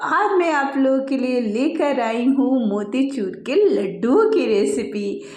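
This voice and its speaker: A woman speaks at a high pitch and a very slow pace, with very wide pitch swings. Noticeable background noise and audible room echo are present. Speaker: cooking channel host. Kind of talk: cooking tutorial. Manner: chatty, conversational.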